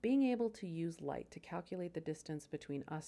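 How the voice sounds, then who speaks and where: A dark, mellow tone with lively intonation, in an American accent at a fairly quick pace. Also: woman. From United States. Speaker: science educator. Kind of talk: scripted narration; casual aside.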